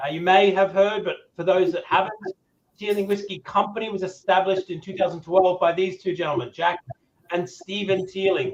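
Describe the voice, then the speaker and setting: With an Australian accent, a man talks at a fairly quick pace in a high pitch. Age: 40s. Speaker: whiskey brand ambassador. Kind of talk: presentation at a tasting event. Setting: webcam from his room. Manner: enthusiastic.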